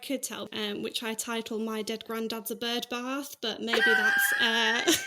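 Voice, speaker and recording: Amid noticeable background noise, a woman with a fairly high pitch speaks at a fairly slow pace with hardly any pauses and ordinary pitch variation. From Manchester, northern England. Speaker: podcast guest. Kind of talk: casual chat.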